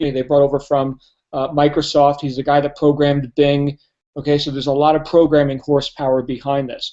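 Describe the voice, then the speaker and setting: In a New Jersey accent, a man with a fairly high pitch and a dark, mellow tone speaks at a fairly quick pace with monotone, flat intonation. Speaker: network marketing trainer. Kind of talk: sales pitch. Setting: live online hangout. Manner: fast.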